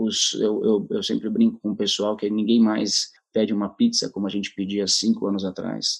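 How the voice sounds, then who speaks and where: Hardly any pauses break up the speech, which holds a moderate pace. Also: man. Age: 30s. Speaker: company executive. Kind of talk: talk. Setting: video call. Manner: animated.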